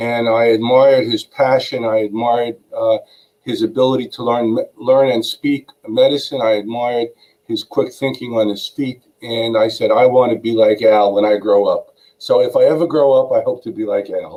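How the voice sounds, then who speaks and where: With a Brooklyn accent, a man talks at a moderate pace. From New York, Brooklyn. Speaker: attorney. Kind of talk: interview.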